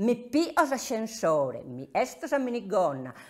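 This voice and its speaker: A woman talks at a very slow pace with very wide pitch swings. The background is quiet. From Sardinia, Orgosolo (Barbagia); Sardinia. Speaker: silk artisan. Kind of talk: interview. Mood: warm, nostalgic. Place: workshop.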